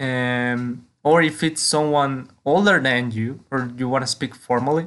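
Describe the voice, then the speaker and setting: A man speaks with a Mexican accent at a medium pitch. His intonation is fairly even. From Mexico. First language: Spanish. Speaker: language teacher podcaster. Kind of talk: tutorial.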